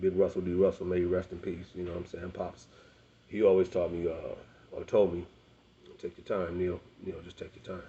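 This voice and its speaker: A man speaks fairly quickly in a very deep, low, somewhat breathy voice with flat, monotone intonation. His loudness swings widely, and he leaves long, frequent pauses. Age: 40s. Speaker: rapper. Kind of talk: personal monologue to camera. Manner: fast; halting.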